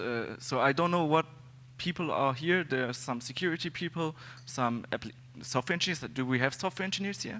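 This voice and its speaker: A man with a German accent, his pitch fairly high and his tone bright and sharp. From Germany. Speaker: security consultant and conference speaker. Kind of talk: conference talk. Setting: stage with audience. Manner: halting, many fillers.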